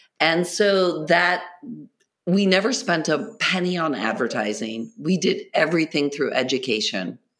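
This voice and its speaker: A woman speaks fairly slowly in a fairly low voice with vocal fry. Her loudness stays very even while her pitch swings very widely. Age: 60s. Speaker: entrepreneur and meditation guide. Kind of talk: casual interview.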